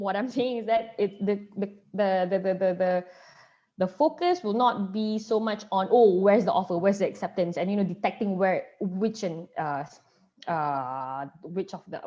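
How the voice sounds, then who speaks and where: Her pitch is medium, and the woman talks at a moderate pace with ordinary pitch variation. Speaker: lawyer giving a webinar. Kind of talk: webinar lecture. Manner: halting, many fillers.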